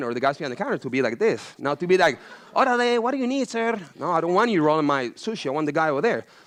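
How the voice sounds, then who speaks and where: A man with a Venezuelan accent talks at a very fast pace. His tone is animated, with very wide pitch swings. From Venezuela, Caracas. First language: Spanish. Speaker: chef and entrepreneur. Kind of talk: motivational talk to students.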